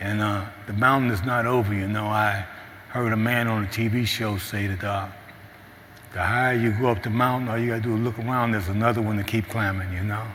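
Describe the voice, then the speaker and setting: Someone with an American accent speaks at a moderate pace amid noticeable background noise and audible room echo. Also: man. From US Midwest, St. Louis, Missouri. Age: 60s. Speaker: recovery program graduate, mentor. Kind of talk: testimony. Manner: halting.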